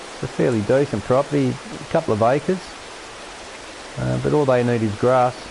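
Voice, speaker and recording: Fairly quick speech broken by long, frequent pauses, with noticeable background noise. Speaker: gaming streamer. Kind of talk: gameplay commentary. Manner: casual, halting with repetitions.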